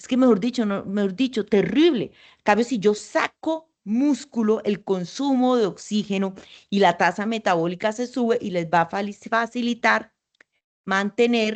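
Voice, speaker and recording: A woman's fairly high voice at a fairly slow pace, with big swings in loudness, ordinary pitch variation, and a quiet background. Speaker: endocrinologist. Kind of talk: interview. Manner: talkative.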